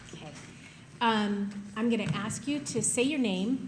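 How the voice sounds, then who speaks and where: A woman's medium-pitched voice with ordinary pitch variation and audible room echo. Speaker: prosecutor. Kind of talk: courtroom witness examination. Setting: courtroom with microphone.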